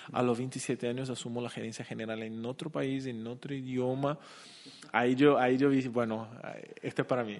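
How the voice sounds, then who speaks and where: A man with a Portuguese accent speaks in a monotone, flat intonation. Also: medium pitch for a man, moderate pace. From Brazil, Curitiba. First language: Portuguese (speaking Spanish). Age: 30s. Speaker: company CEO. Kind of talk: interview. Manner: halting.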